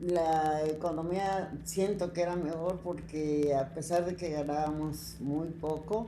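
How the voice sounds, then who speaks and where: Audible room echo surrounds a woman with a fairly low voice and fairly even intonation. She speaks at a very slow pace. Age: 90s. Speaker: retired teacher. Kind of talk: interview.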